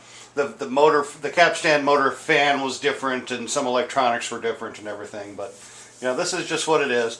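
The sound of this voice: Audible room echo surrounds a man speaking fairly quickly at a medium pitch, with a fairly bright tone and ordinary pitch variation.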